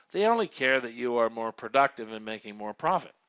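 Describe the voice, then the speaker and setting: This man speaks at a medium pitch with lively intonation. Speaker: call center trainer. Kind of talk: webinar training presentation. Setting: online webinar. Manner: fast.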